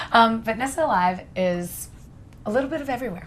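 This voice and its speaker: Amid noticeable background noise, a woman talks fairly quickly in a fairly high pitch with lively intonation. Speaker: personal trainer. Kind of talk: interview. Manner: loud and expressive.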